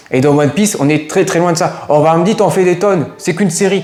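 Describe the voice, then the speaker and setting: At a very fast pace, a man speaks with ordinary pitch variation. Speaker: YouTuber film critic. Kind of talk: video review monologue. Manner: halting, many fillers and repetitions.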